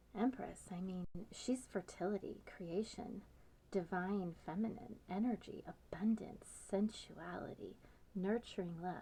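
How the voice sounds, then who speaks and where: Soft-spoken, gentle-toned speech at a fairly slow pace. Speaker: tarot reader. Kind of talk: ASMR tarot reading.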